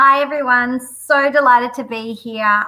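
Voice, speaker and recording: A woman talks fairly slowly in an Australian accent. Her high voice has a bright, sharp tone and ordinary pitch variation. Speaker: teacher and product presenter. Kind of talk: live webinar introduction.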